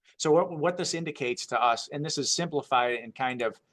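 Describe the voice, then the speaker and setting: The background stays quiet. A man speaks fairly quickly, his pitch varying in an ordinary way. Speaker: TV meteorologist giving a seminar talk. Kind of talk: technical presentation. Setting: seminar audience. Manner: fast.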